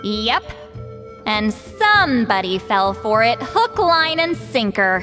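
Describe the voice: Over faint music in the background, a woman performs a put-on character voice at a fairly high pitch, slow in pace, bright and sharp in tone, with big swings in pitch.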